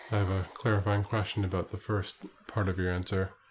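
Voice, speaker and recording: On a very clean recording with a silent background, a man speaks in a monotone, flat intonation and sounds somewhat breathy. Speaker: podcast co-host, interviewer. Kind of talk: casual chat.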